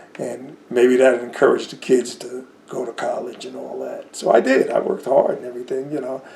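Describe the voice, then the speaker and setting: Noticeable background noise is audible. Over it, a man talks fairly quickly. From New Jersey. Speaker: war veteran. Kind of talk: interview. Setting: at home.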